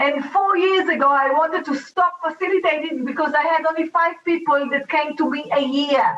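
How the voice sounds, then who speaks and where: A woman speaks with an Israeli accent. Her pitch is extremely high, with ordinary variation. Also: moderate pace, hardly any pauses. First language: Hebrew. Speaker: talk show host and facilitator. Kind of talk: motivational talk show. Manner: animated.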